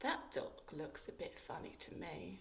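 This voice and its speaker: A woman uses a put-on character voice at a moderate pace. Background noise is clearly audible. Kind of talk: bedtime story. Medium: read story.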